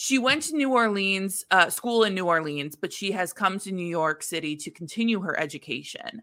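Her tone is bright and sharp. The woman speaks at a medium pitch with lively intonation. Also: moderate pace, hardly any pauses. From US Midwest. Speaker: podcast host. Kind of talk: casual chat.

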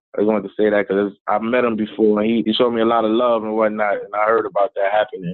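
With an American accent, a man speaks at a very fast pace in a fairly low pitch, his intonation monotone and flat. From South Bronx, New York City. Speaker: hip hop artist and motivational speaker. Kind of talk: interview.

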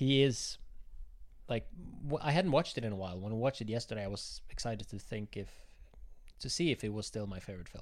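A man with a Norwegian accent talks very fast, his intonation lively and his loudness swinging widely. He takes long, frequent pauses, and the recording is very clean with a silent background. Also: medium pitch for a man. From southern Norway. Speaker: film club member. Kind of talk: casual chat.

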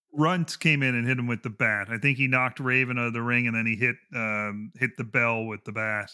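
A man talks at a fairly quick pace with hardly any pauses, in an unremarkable speaking voice. His pitch is medium and his intonation fairly even. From Canada. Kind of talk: casual chat.

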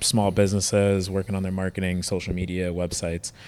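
The recording is very clean, with a silent background. A man speaks very fast at a fairly low pitch. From Detroit, US Midwest. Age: 30s. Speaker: off-road shop staff, auto enthusiast. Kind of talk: casual interview.

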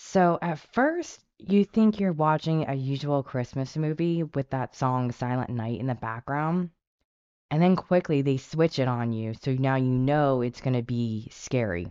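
In a dry, close recording with no echo, a woman with a very deep, low voice speaks at a fairly slow pace with lively intonation. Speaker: podcast co-host. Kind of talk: casual chat.

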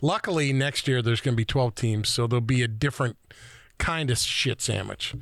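With a plain, everyday voice, a man talks at a fairly quick pace at medium pitch, with ordinary pitch variation and very even loudness. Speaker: co-host. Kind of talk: casual chat.

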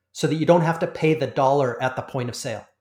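A somewhat breathy man with a Canadian accent at a very fast pace and fairly even intonation, on a very clean recording with a silent background. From Canada. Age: 40s. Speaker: industry analyst. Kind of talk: interview.

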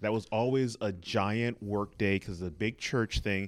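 A man with an American accent talks at a moderate pace in a fairly low pitch. He has an unremarkable speaking voice, captured in a very clean recording over a silent background. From Los Angeles (Inglewood). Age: 40s. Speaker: comedy producer and improviser. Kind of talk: interview.

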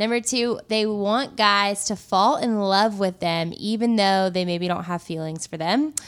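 A woman's unremarkable speaking voice at medium pitch, fairly slow, with hardly any pauses and ordinary pitch variation. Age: 20s. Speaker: faith podcast co-host. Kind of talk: casual chat.

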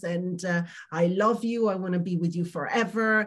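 Fairly even intonation marks this voice with an Italian accent, delivered at a fairly slow pace. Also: woman. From Italy. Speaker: emotional wellness coach. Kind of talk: interview testimony.

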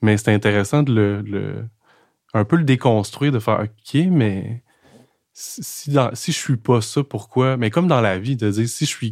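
In a Quebec accent, a man speaks at a fairly slow pace and medium pitch with ordinary pitch variation, on a very clean recording with a silent background. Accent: Québécois French. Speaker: podcast host. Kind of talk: casual chat. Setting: in a café. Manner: calm, measured.

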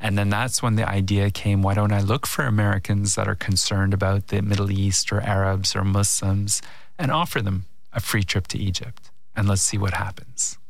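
A man with a normal speaking voice, fairly low pitch, very even loudness, fairly even intonation and a moderate pace. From Canada. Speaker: filmmaker. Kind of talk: interview conversation.

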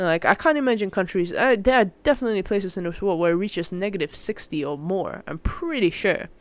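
At a very fast pace with hardly any pauses, a woman speaks in a medium pitch with lively intonation. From Malaysia. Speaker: solo podcaster / student. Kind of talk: casual monologue. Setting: home recording. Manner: animated.

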